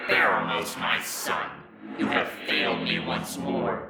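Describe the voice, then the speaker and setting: A man uses a put-on character voice that is raspy and booming. He speaks at a fairly slow pace with slight echo. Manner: menacing.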